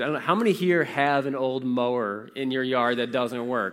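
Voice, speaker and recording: Very fast in pace, a man speaks in a medium pitch with an American accent. The recording is very clean, with a silent background. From Warsaw, Indiana (US Midwest). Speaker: pastor. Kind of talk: sermon.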